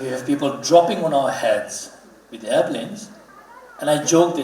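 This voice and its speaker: A high-pitched man talks at a moderate pace with lively intonation, noticeable background noise behind him. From Ladakh, India. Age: 30s. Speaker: Buddhist religious leader, guest speaker. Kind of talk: public talk. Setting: auditorium stage with audience.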